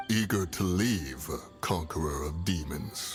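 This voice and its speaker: Putting on a character voice, a man speaks at a fairly slow pace in a very deep, low pitch while clear music plays in the background. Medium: fan dub. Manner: aloof, archaic, measured.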